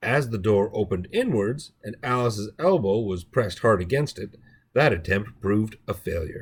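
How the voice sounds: Intonation stays lively throughout. It comes from a natural reading voice.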